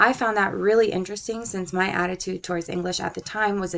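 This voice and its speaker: A woman talks at a fairly quick pace with a slight Southern US accent. Her pitch is medium and her intonation fairly even. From Puerto Rico. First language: Spanish. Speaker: student. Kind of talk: scripted narration.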